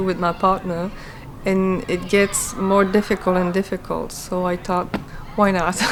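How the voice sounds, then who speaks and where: A woman speaks in a Quebec accent at a medium pitch and a moderate pace. Noticeable background noise runs underneath. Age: 40s. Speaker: martial arts student. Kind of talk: interview. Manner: hesitant, with many fillers.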